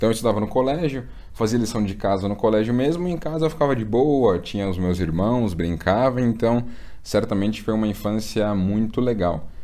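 A dark, mellow tone at a fairly quick pace, with lively intonation and audible room echo. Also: man, fairly low pitch for a man. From Brazil, São Paulo. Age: 20s. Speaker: investment content creator. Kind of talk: casual interview chat.

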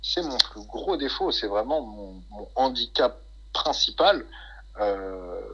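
This man talks at a very slow pace. His loudness swings widely. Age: 20s. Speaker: bodybuilder and fitness coach. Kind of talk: casual interview.

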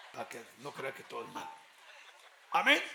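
Through noticeable background noise and audible room echo, a man talks at a fairly quick pace. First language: Spanish. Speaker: pastor. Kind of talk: sermon. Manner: call-and-response.

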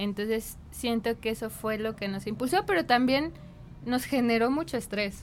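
Fairly high in pitch with ordinary pitch variation, a woman's unremarkable speaking voice proceeds at a moderate pace. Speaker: designer and entrepreneur. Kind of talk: casual interview.

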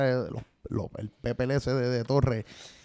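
His voice has a dark, mellow tone. The pitch sits at a medium level for this man. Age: 30s. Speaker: artist manager. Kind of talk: casual chat.

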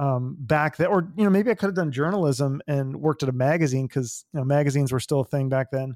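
A man with an American accent speaks in an ordinary speaking voice, fairly high in pitch. The recording is very clean with a silent background and a dry, close sound with no echo. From US Pacific Northwest, Issaquah near Seattle. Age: 40s. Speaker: podcast host. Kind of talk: casual interview chat.

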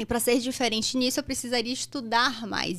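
At a fairly quick pace, a woman talks in a high voice. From Brazil, Bahia (Salvador). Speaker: anesthesiologist and medical educator. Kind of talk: interview conversation. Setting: studio.

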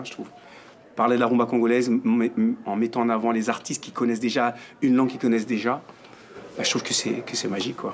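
A man's voice at medium pitch. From France. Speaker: music teacher. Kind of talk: interview.

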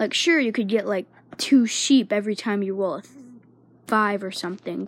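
This woman speaks with lively intonation at a moderate pace. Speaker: podcast host. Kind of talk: casual monologue. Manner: hesitant, many fillers.

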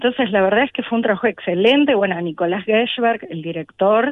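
The woman speaks at a medium pitch. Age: young. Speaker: percussionist. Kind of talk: interview. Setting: backstage.

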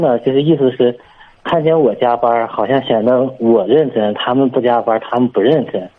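The intonation is lively. Noticeable background noise sits behind the voice. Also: man. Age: 30s. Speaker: caller, civil servant. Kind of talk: phone-in advice call.

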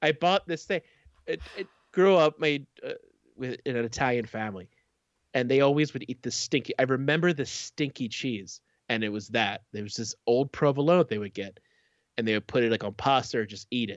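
A man with an ordinary speaking voice talks at a fairly quick pace, using lively intonation at a medium pitch. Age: 40s. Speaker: podcast co-host. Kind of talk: casual chat. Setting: live stream.

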